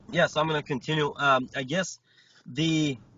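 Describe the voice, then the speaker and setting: The speaker has a Bulgarian accent. The pace is moderate. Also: man. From Bulgaria, Stara Zagora. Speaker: wrestler and coach. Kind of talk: interview.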